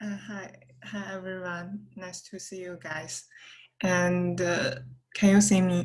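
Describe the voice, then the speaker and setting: In a Chinese accent, a woman talks at a very slow pace with monotone, flat intonation and audible room echo. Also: medium pitch for a woman, big swings in loudness. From China. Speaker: student. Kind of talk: class introduction. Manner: halting.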